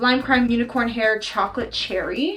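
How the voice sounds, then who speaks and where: Music plays in the background behind a woman speaking at a high pitch. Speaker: beauty YouTuber. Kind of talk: casual chat. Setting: home video with ring light. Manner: fast; animated.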